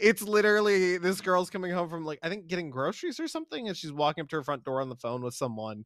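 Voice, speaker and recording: With an American accent, a man speaks at a very fast pace and high pitch with lively intonation, on a very clean recording with a silent background. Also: hardly any pauses. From Pittsburgh, Pennsylvania, US. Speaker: horror game streamer. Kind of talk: casual chat.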